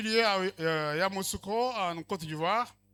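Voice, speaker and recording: A raised, projected voice with a bright, sharp tone moves at a moderate pace with ordinary pitch variation, on a very clean recording with a silent background. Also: man. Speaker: speaker at network ceremony. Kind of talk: formal speech with interpretation.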